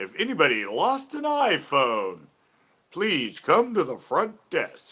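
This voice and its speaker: A man's put-on character voice, raised and projected, at a fairly slow pace. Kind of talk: PA announcement. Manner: cheesy, exaggerated announcer.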